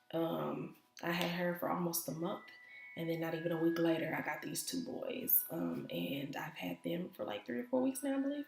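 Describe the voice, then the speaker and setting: Over music in the background, a woman with a fairly low pitch talks at a moderate pace, her pitch swinging very widely. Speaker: vlogger and foster mom. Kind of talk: casual vlog talk. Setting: home office. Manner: hesitant, many fillers.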